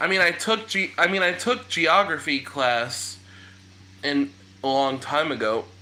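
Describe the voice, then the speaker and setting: Amid noticeable background noise, a man with an American accent speaks at a fairly high pitch with very wide pitch swings. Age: 20s. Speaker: live streamer. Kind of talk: casual chat. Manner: halting.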